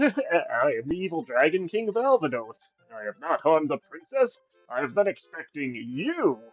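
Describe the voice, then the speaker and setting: A man's put-on character voice, high in pitch and at a moderate pace, with faint music in the background. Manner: villainous, booming.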